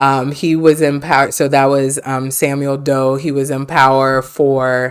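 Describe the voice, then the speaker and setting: With a Liberian accent, a woman talks at a fairly slow pace in a very deep, low pitch. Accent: Liberian, sing-songy, sounds almost Caribbean. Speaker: lawyer. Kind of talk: podcast interview. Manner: smiles when talking.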